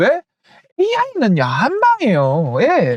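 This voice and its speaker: A man speaks in an animated tone with a strong Gyeongsang accent. The sound is dry and close, with no echo. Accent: thick Gyeongsang (Daegu) dialect. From South Korea, Daegu. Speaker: stock market YouTuber. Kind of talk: investment advice monologue.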